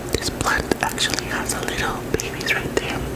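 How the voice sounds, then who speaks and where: Noticeable noise sits in the background while someone whispers fairly slowly. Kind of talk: soft-spoken ASMR plant talk to camera. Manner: soft-spoken, slow.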